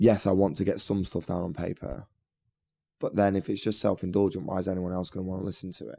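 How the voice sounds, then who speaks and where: A man speaks at a very fast pace with a very deep, low pitch in a northern English accent. His tone is dark and mellow, and his intonation stays fairly even. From northern England, Manchester. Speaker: singer and guitarist in a band. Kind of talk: podcast interview. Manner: casual, many fillers.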